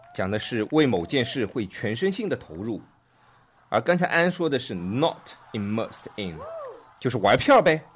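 Noticeable background noise sits behind a man who talks at a very slow pace with very wide pitch swings. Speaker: podcast host teaching English vocabulary. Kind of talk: casual chat explaining English words; scripted outro. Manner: animated, laughing.

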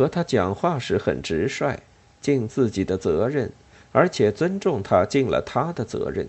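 Plain reading aloud of a text

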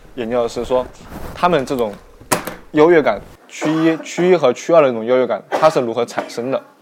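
Over noticeable background noise, a man talks at a fairly quick pace with long, frequent pauses, his fairly high pitch showing ordinary variation. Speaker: sociology graduate student. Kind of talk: casual chat. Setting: restaurant cafe.

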